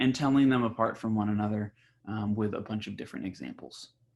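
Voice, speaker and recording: Here a man speaks at a medium pitch. His pace is very fast. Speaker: school teacher. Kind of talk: recorded classroom lesson. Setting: home recording. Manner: casual, hesitant with fillers.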